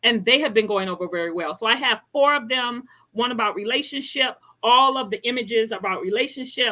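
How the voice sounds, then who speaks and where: At a fairly quick pace, a woman with an unremarkable speaking voice talks at a fairly high pitch. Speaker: health coach and author. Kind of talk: interview.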